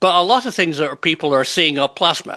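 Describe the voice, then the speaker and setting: This man has a British accent and a fairly high pitch for a man. His tone is bright and sharp. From UK. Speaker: UFO researcher and interviewer. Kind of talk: panel discussion.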